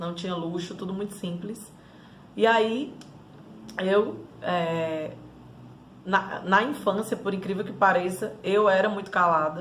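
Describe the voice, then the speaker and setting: With a Ceará accent, a woman speaks at a very slow pace and medium pitch, showing ordinary pitch variation. Long, frequent pauses break up her speech, and audible room echo surrounds it. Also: big swings in loudness. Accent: Cearense (northeastern Brazilian). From Northeast Brazil, Fortaleza (Ceará). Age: 30s. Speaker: life coach. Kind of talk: personal life story monologue.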